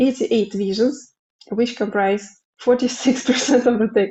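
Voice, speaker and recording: Fairly even intonation from a woman, her voice fairly high and somewhat breathy. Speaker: dharma study group talk leader. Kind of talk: talk to a study group. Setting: group session with live translation. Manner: hesitant, many fillers.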